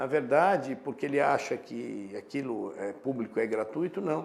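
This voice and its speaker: Vocal fry runs through a voice with very wide pitch swings. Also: man. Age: 60s. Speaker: professor. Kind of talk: casual chat.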